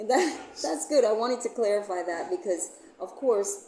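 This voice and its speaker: Here a woman with an American accent speaks at a moderate pace with lively intonation. Background noise is noticeable. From Jamaica. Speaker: YouTube host and property manager. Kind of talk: interview.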